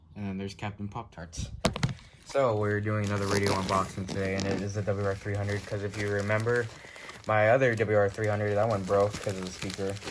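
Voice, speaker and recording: Noticeable background noise sits under speech delivered at a very fast pace. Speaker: YouTuber unboxing weather radios. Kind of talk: casual unboxing video with friends.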